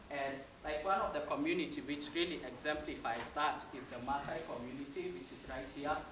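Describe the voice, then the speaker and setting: Amid noticeable background noise and audible room echo, a man with a fairly high pitch talks at a fairly quick pace, showing ordinary pitch variation and big swings in loudness. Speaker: student presenter. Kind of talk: cultural presentation.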